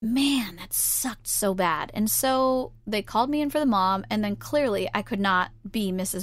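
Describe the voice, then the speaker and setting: A woman with a fairly high voice, a moderate pace, lively intonation and an animated tone, in a very clean recording with a silent background. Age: 20s. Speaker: podcast host and performer. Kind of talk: casual monologue.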